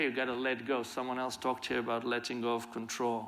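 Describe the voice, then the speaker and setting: A man speaks at a very fast pace in a monotone, flat delivery, his tone bright and sharp over light background noise. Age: 50s. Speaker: violence prevention leader; conference speaker. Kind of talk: conference talk. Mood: earnest, reflective. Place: stage. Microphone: lapel.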